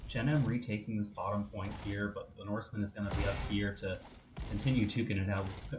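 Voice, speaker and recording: A soft-spoken man talks at a fairly quick pace in a fairly low pitch with fairly even intonation. Noticeable background noise runs under his voice. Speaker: esports caster. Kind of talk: live commentary. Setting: live stream.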